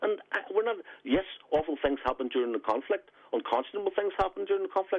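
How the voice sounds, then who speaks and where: A man with a Belfast accent talks at a very fast pace. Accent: Belfast Northern Irish. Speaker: former republican strategist and author. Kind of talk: radio interview. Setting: phone call.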